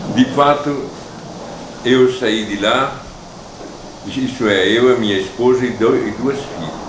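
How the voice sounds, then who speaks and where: A man with a medium-pitched voice and ordinary pitch variation speaks at a very slow pace, pausing long and often. The recording has audible room echo and noticeable background noise. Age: 80s+. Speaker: immigrant descendant interviewee. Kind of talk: interview testimony.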